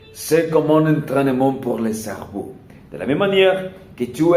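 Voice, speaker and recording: Speaking at a very slow pace, a man with a fairly high pitch and a dark, mellow tone uses ordinary pitch variation, with audible room echo around him. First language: not French (learner, one year) (speaking French). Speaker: language learner vlogger. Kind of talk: casual monologue vlog. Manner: halting, many hesitations.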